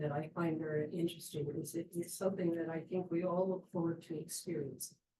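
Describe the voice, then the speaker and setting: At a fairly quick pace, a woman speaks with a fairly low pitch, a somewhat breathy quality and a dark, mellow tone. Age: 70s. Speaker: audience member. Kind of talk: audience question.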